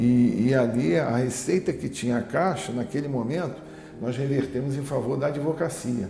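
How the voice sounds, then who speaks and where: A man speaks in a medium pitch at a moderate pace. There is noticeable background noise. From Rio de Janeiro, Brazil. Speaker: labour lawyer. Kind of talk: oral history interview answer.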